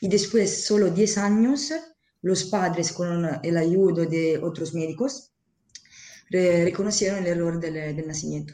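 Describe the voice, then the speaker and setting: Audible room echo surrounds a woman's fairly low-pitched voice. She speaks with an Italian accent. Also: ordinary pitch variation, fairly slow pace. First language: Italian (speaking Spanish). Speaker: interpreter and association member. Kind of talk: interview.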